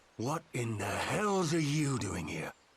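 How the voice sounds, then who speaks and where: This put-on character voice is growling, with very wide pitch swings. It moves at a fairly slow pace. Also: man, medium pitch for a man. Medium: video game. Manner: blunt, gruff.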